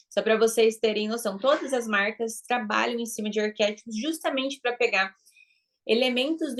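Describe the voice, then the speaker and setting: A woman's fairly high voice, with ordinary pitch variation and a fairly quick pace. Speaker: branding and marketing mentor. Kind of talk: online class lecture. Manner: animated.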